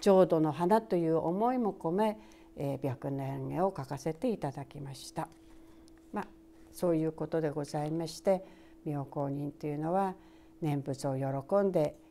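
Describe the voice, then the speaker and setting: A woman's very deep, low voice with a dark, mellow tone, a fairly slow pace, ordinary pitch variation and big swings in loudness, over light background noise. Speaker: Buddhist priest. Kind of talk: Buddhist dharma talk. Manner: frequent fillers and pauses; polite formal speech.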